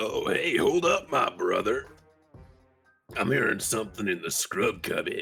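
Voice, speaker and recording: Faint music plays in the background as a put-on character voice speaks at a moderate pace. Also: man. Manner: laid-back, friendly.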